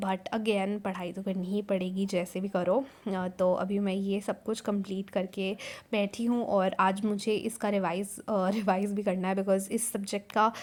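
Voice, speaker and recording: Her pitch sits in the medium range for a woman. The woman speaks in a monotone, flat way. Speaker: student vlogger. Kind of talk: casual vlog narration. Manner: code-switching Hindi-English.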